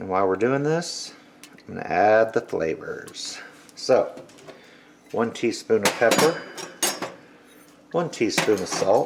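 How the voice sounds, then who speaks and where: At a fairly slow pace, a man talks with long, frequent pauses over noticeable background noise. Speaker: cooking channel host. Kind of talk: cooking tutorial. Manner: casual.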